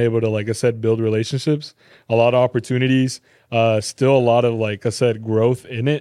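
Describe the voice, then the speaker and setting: A man with an American accent talks at a fairly quick pace in a dark, mellow tone, his medium pitch held monotone and flat against a quiet background. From Texas, Garland (Dallas area). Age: 20s. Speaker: sneaker store employee and reseller. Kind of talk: casual chat.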